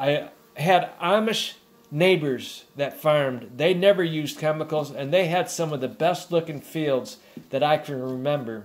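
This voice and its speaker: Fairly slowly, a man speaks in a fairly high voice with ordinary pitch variation. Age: 50s. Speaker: beekeeper. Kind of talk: vlog monologue. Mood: concerned, warning. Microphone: phone near.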